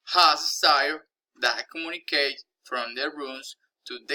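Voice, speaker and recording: With a Spanish accent, a man talks at a very slow pace and a fairly high pitch, his tone bright and sharp. The intonation is fairly even, and the sound is dry and close with no echo. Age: 20s. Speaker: language learner. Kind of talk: reading aloud.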